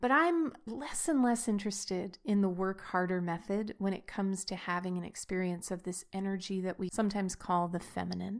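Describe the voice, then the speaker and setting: This is a woman with a medium pitch. The recording is very clean, with a silent background. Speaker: podcast host, sensuality coach. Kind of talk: solo podcast talk. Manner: sped up, higher pitch in one stretch.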